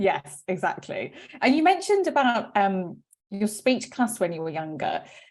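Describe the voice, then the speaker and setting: A woman with a British accent, fairly high-pitched with very wide pitch swings, at a moderate pace. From UK. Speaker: webinar host, company CEO. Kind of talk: interview.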